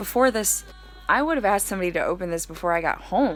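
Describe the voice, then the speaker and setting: Noticeable background noise sits behind a woman talking at a very fast pace with lively intonation. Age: 20s. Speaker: beauty vlogger. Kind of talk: casual chat. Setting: home basement. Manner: stuttering.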